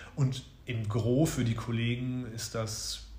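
Over audible room echo, a man's somewhat breathy voice holds a medium pitch and a monotone, flat intonation. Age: 30s. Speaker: father and advertising production manager. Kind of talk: interview. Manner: hesitant with many fillers.

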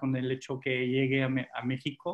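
A man with a French accent at a moderate pace. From France. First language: French (speaking Spanish). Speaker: former hotel manager, education advisor. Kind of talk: interview.

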